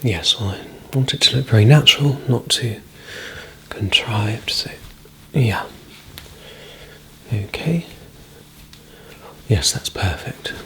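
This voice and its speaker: A soft-spoken voice whispers at a fairly slow pace with long, frequent pauses. Noticeable background noise runs underneath. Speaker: ASMR creator playing a men's stylist. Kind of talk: ASMR role-play, soft-spoken personal stylist talking to the listener. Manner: soft-spoken, whispering, relaxing.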